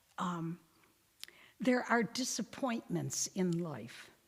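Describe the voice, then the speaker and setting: A woman speaks at a very slow pace in a medium pitch with lively intonation. Her voice is somewhat breathy. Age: 90s. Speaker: religious sister giving a Lenten talk. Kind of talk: parish talk with audience discussion. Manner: halting, with fillers and restarts.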